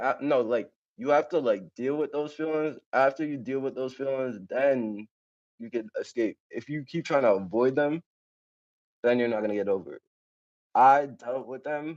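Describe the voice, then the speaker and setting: A man with an American accent and medium pitch talks in an unremarkable speaking voice. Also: ordinary pitch variation, moderate pace. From New York. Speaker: rapper. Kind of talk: interview.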